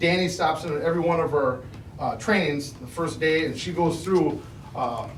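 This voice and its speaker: A man talks at a fairly quick pace with fairly even intonation. The recording has audible room echo and noticeable background noise. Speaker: school staff trainer. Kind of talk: board presentation. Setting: school board meeting. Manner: loud.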